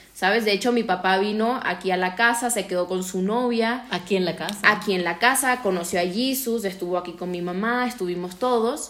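Noticeable background noise sits behind a woman at a medium pitch with ordinary pitch variation. She talks at a fairly quick pace with hardly any pauses. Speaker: podcast co-host. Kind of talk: casual chat.

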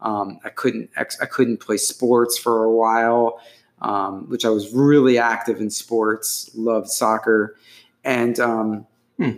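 A very slow, monotone male voice at a medium pitch, flat in intonation, on a very clean recording with a silent background. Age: 40s. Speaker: poet, writer and relationship blogger. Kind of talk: casual chat.

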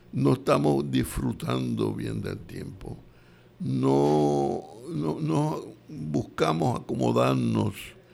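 A man with a very deep, low pitch and a dark, mellow tone speaks at a very slow pace, with ordinary pitch variation and big swings in loudness. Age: 80s+. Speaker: radio host. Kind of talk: live radio talk show. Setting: radio studio.

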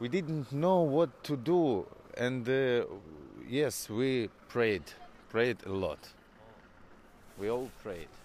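Speaking in a Ukrainian accent, a man with a medium pitch and lively intonation goes at a very slow pace, leaving long, frequent pauses. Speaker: musician. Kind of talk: interview. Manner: halting, many hesitations.

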